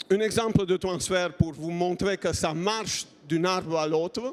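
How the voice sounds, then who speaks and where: A man with a non-native accent speaks at a very slow pace. His pitch is high, with ordinary pitch variation. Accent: foreign accent in French. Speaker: innovation program manager, engineer. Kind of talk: conference talk.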